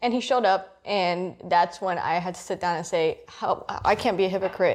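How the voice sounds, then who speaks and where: A woman speaks with a Miami accent at a medium pitch. Her intonation is fairly even. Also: moderate pace. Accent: Cuban-American Miami. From Miami, Florida (Cuban-American). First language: Spanish. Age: 20s. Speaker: interviewee sharing life story. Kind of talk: interview. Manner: casual, filler-heavy.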